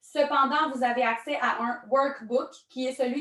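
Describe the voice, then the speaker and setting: This woman speaks at a fairly slow pace in a high pitch, with fairly even intonation and a strong Quebec accent. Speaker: network marketing trainer. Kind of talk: online training presentation.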